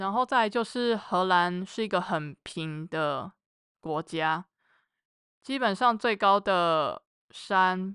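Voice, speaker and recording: A woman's bright, sharp, medium-pitched voice at a very slow pace, dry and close with no echo, over a quiet background. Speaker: mechanical engineer. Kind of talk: casual chat.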